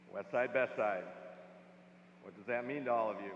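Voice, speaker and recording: Ordinary pitch variation shapes the man's speech. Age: 60s. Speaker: commencement speaker. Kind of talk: commencement speech.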